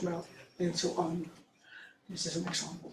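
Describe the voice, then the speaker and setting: Delivered at a fairly quick pace in a Dutch accent, the speech carries audible room echo. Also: woman. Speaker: archaeologist. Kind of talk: conference presentation. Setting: workshop audience. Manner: reading from script; hesitant.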